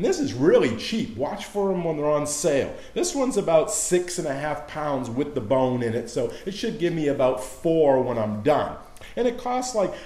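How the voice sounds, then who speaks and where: A man talks at a moderate pace, and audible room echo surrounds his voice. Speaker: cooking show host. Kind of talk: tutorial. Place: kitchen. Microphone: camera far.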